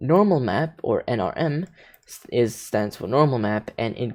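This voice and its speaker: Against a quiet background, a man speaks at a medium pitch. His tone is dark and mellow. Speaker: hobbyist tutorial maker. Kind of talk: software tutorial. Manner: halting.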